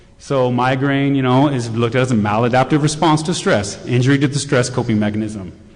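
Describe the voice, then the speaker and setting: A man talks at a very fast pace. Room echo is audible. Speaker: conference speaker on shamanic healing. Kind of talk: lecture.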